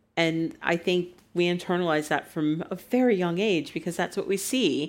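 In a plain, everyday voice, a woman with an American accent speaks fairly slowly at a fairly low pitch with ordinary pitch variation, on a very clean recording with a silent background. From United States. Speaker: writer. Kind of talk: live on-stage conversation. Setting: stage with audience.

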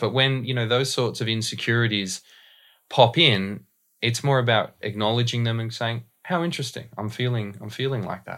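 In a very clean recording with a silent background, a man with an Australian accent talks fairly quickly at a medium pitch, using ordinary pitch variation and a bright, sharp tone. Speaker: voice and dialect coach. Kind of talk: casual interview.

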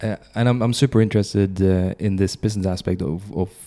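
Speaking at a moderate pace with a Swedish accent, the man has a fairly low pitch, a dark, mellow tone, and fairly even intonation. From Sweden. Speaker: podcast host. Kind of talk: interview.

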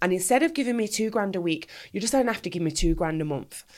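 Very fast and lively in intonation, a woman talks in a Mancunian accent on a very clean recording with a silent background. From Manchester, England. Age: 30s. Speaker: ex-adult industry performer and anti-exploitation campaigner. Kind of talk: interview testimony.

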